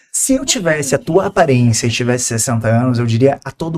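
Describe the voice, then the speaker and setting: A man with a strong gaúcho accent, medium pitch, ordinary pitch variation, an animated tone and a fairly quick pace. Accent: strong southern Brazilian (gaúcho). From southern Brazil. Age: 20s. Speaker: marketing and personal branding expert. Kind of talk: podcast interview.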